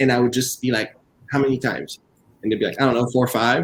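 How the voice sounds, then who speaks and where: This is a man speaking. His pitch is fairly high. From Quebec, Montreal (Haitian family). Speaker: author and professor. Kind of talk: virtual book event interview. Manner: talkative.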